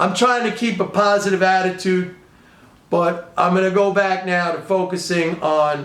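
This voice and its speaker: With a New York accent, a man speaks at a high pitch and a fairly slow pace amid audible room echo. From New York City, the Bronx. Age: 60s. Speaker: economics and trading commentator. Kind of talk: casual video commentary. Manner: animated.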